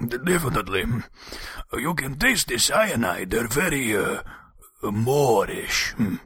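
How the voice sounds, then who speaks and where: Using a put-on character voice, a raspy man at medium pitch talks at a fairly slow pace with very wide pitch swings and long, frequent pauses. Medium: audio drama. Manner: dry, sardonic.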